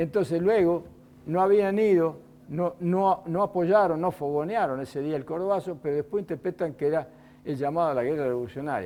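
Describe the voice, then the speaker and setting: This man has a high pitch and a dark, mellow tone, speaking at a fairly quick pace with ordinary pitch variation. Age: 70s. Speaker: former student leader and author. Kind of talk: TV interview.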